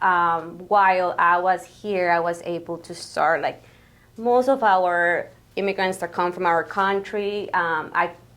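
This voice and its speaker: A woman's medium-pitched voice in a Spanish accent, fairly slow and fairly even in intonation, on a very clean recording with a silent background. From Guatemala. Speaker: grant coordinator. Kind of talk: interview. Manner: hesitant, many fillers.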